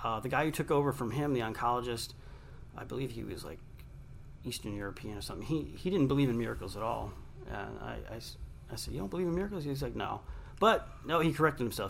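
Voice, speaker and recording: A man with an American accent talks at a very fast pace with vocal fry. His intonation is lively and his loudness swings widely. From Long Island, New York. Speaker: radio host and author. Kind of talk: interview. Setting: studio.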